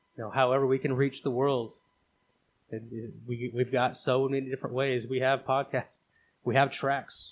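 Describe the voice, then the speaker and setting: A man at medium pitch, speaking at a moderate pace in a flat, monotone way. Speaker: podcast host. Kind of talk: casual chat.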